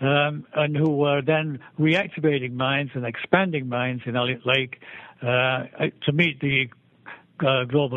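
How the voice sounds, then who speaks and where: A British-accented man at a moderate pace, with fairly even intonation. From England. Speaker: civil engineer, mining executive. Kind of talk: interview. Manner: halting, many repetitions and fillers.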